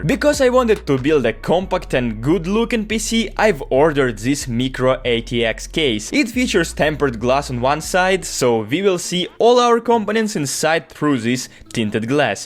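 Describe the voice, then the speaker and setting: A man with a Russian accent talks at a moderate pace, hardly pausing at all. His pitch is fairly high and swings very widely. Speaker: tech YouTuber. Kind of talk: tutorial.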